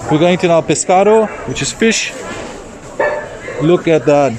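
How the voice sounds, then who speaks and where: Over noticeable background noise, a man with a high voice talks at a moderate pace. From South Africa. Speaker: travel vlogger. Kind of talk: casual vlog walkthrough. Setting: outdoor market. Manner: casual, filler-heavy.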